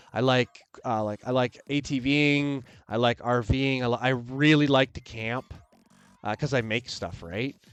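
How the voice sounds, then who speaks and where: A man with a Canadian accent speaks at a medium pitch with fairly even intonation. The sound is dry and close with no echo, and music plays in the background. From Canada. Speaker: maker and streamer. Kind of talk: live stream chat. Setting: live stream. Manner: rambling, casual.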